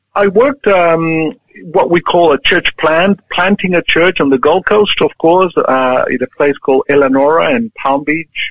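A high-pitched male voice with a Chilean accent, moderate pace, ordinary pitch variation and very even loudness. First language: Spanish. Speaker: church leader, pastor. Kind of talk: interview. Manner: halting.

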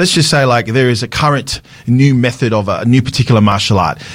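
Using an Australian accent, a man talks at a moderate pace and medium pitch with ordinary pitch variation. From Sydney, Australia. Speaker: pastor. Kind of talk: radio talk show discussion. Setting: radio studio.

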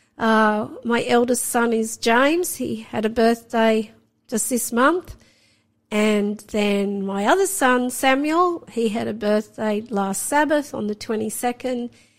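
A woman speaks with an Australian accent at fairly high pitch. Her pace is very slow, with ordinary pitch variation. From Sydney, Australia. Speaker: guest sharing faith testimony. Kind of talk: testimony.

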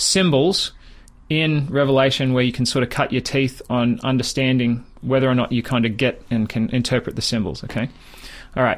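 Speaking fairly quickly with an Australian accent, a man uses a medium pitch and ordinary pitch variation. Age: 30s. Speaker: Bible teacher. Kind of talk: radio interview. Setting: studio.

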